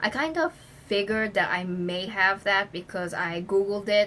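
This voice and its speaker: A woman's medium-pitched voice with fairly even intonation at a moderate pace. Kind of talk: casual talk to camera.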